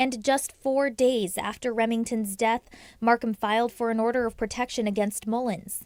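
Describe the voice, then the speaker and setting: A woman speaks in an ordinary speaking voice, fairly high in pitch, at a moderate pace with fairly even intonation. The recording is very clean, with a silent background. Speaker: TV news reporter. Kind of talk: recorded news package voiceover. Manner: somber, serious.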